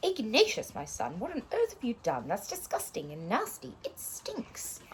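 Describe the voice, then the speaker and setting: A woman keeps a moderate pace as noticeable background noise plays behind her. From Australia. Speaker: teacher reading stories to pupils. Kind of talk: reading aloud.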